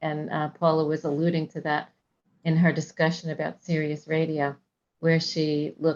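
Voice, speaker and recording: Soft-spoken and at a moderate pace, a woman talks in a very deep, low pitch. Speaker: seminar presenter. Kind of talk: casual chat before a video meeting.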